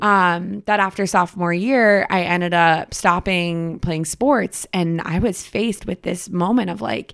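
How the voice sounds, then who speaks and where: A woman's normal speaking voice at medium pitch, fairly slow in pace with ordinary pitch variation, on a very clean recording with a silent background. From Boston. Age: 20s. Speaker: actress and former college athlete. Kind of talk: casual chat. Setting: at home in her apartment.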